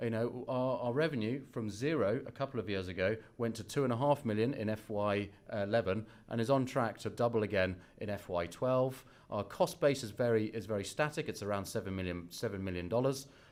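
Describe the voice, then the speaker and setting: Someone with a British accent speaks at a fairly quick pace with ordinary pitch variation. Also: man, medium pitch for a man. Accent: British accent, noticeable. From UK. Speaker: biotech company executive. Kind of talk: investor presentation. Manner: hesitant, many fillers and restarts.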